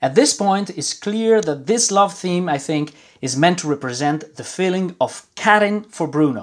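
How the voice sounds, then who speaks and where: This man has a high pitch and lively intonation, speaking with an Italian accent. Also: moderate pace, very clean recording, silent background. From Milan, Italy. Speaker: guest co-host, film music enthusiast. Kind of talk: casual chat. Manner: halting.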